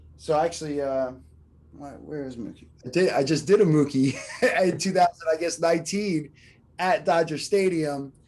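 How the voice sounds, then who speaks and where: Speaking at a moderate pace in a Philadelphia accent, a man with a fairly high pitch and a dark, mellow tone uses ordinary pitch variation while his loudness swings widely. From Philadelphia, US. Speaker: artist. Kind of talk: interview. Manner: halting, many fillers.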